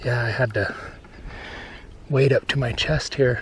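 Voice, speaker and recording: This soft-spoken man talks at a fairly slow pace. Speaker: fishing video host. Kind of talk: outdoor vlog narration. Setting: outdoors. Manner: casual, relaxed.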